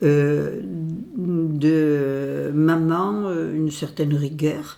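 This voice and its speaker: Audible room echo carries a woman's very deep, low voice as she speaks at a very slow pace with fairly even intonation. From southwest France, Pau. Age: 80s+. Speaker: retired association president, activist. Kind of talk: interview. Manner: hesitant with fillers.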